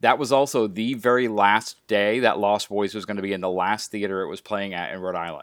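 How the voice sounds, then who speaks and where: A man talks at a fairly quick pace with hardly any pauses. He has an unremarkable speaking voice, fairly low in pitch with ordinary pitch variation. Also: very clean recording, silent background. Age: 40s. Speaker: podcast host and coach. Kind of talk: interview.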